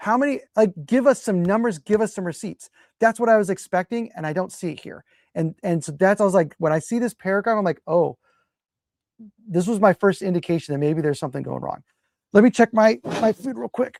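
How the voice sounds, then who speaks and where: A woman's ordinary speaking voice at medium pitch, fairly quick and lively in intonation, with big swings in loudness, in a very clean recording with a silent background and a dry, close sound with no echo. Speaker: trial attorney and legal commentator. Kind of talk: casual legal analysis livestream.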